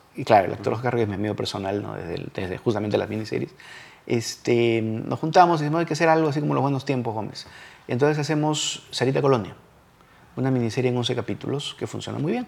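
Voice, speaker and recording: At a very fast clip, a man speaks with lively intonation. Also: medium pitch for a man. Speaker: television screenwriter. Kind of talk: interview.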